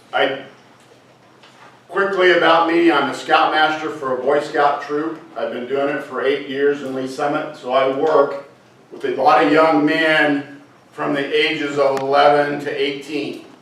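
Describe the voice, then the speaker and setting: A man speaks at a fairly slow pace and a fairly high pitch in a monotone, flat intonation. Audible room echo and noticeable background noise fill the recording. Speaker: scoutmaster. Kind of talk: speech to a club audience.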